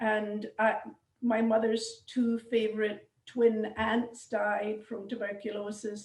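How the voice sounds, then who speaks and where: Speaking very slowly in a Scottish accent, a woman with a fairly high pitch keeps her intonation flat and monotone. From Scotland, suburb of Glasgow. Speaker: genealogy society member. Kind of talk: casual chat. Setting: video call. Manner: halting.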